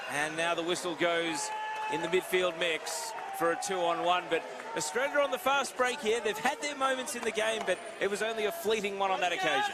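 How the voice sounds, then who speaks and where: A man's raised, projected voice, high in pitch, with lively intonation, a fairly quick pace and noticeable background noise. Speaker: play-by-play commentator. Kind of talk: live sports commentary. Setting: commentator's table at live event. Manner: lowered voice.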